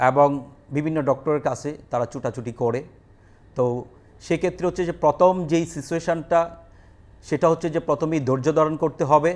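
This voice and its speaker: Male speech, fairly high, the pitch shifting an ordinary amount. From rural Bangladesh. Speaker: special school principal. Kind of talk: interview. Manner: halting.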